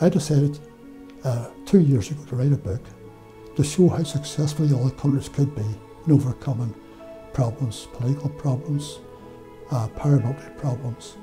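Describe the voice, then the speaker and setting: Over clear background music, a man with a fairly high pitch speaks at a moderate pace, with ordinary pitch variation and long, frequent pauses. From Northern Ireland, Derry; Northern Ireland. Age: 80s+. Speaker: former electoral official. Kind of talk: interview. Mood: calm, proud reflection. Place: studio. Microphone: lapel.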